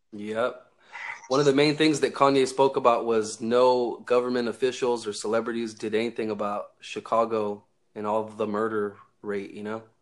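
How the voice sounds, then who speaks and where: A man with an American accent speaks in a normal speaking voice, medium in pitch, with fairly even intonation at a moderate pace. The recording is very clean, with a silent background. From Northern California. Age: 20s. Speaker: online talk show host. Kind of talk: casual chat.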